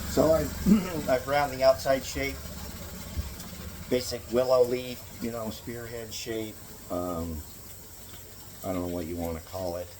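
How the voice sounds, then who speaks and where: A man with a medium-pitched voice talks at a fairly slow pace with long, frequent pauses, very wide pitch swings and big swings in loudness, over audible room echo and noticeable background noise. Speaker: knapping craftsman demonstrating tools. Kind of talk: tutorial. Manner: halting, many fillers.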